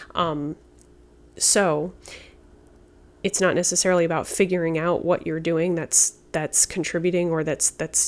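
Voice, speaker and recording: A soft-spoken voice moves at a fairly slow pace with monotone, flat intonation and long, frequent pauses. The recording is very clean, with a silent background. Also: woman, fairly low pitch for a woman. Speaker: tarot reader. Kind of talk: tarot reading. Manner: halting.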